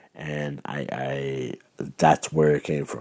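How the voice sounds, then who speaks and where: A man with an American accent speaks at a fairly slow pace in a very deep, low voice, his intonation flat and monotone. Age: 30s. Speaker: filmmaker. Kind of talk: monologue answering questions to camera. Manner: halting, with repetitions.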